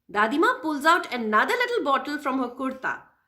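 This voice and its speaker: Raised and projected, a woman's high voice takes a dramatic tone with very wide pitch swings. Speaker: puppeteer and educator. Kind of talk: children's story reading. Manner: expressive, dramatic.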